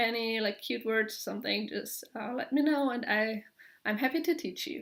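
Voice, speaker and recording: A woman speaks in a German accent at a moderate pace. Her pitch is fairly high. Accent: German accent, described as harsh. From Germany. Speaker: knitting podcaster. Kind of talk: casual vlog monologue. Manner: halting, many filler words.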